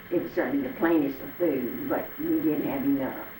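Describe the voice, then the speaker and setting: A woman talks at a moderate pace with a Southern US accent. Noticeable background noise and audible room echo surround her. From Arkansas, US South. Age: 80s+. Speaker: elderly interviewee recalling the Depression. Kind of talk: oral history interview. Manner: halting.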